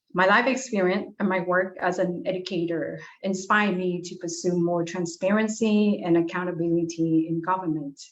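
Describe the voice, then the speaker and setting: At medium pitch and a moderate pace, a woman with a non-native accent talks with ordinary pitch variation and hardly any pauses, her voice carrying audible room echo. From abroad, immigrant to US. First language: not English. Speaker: political candidate, chemistry lecturer. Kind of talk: candidate forum statement.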